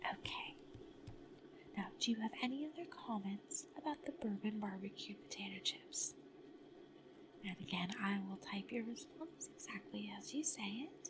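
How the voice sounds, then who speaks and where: The speaker has a calm tone and leaves long, frequent pauses against noticeable background noise. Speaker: ASMR content creator playing a product-testing researcher. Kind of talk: ASMR role-play survey questions, soft spoken personal attention. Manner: soft-spoken, slow, calm.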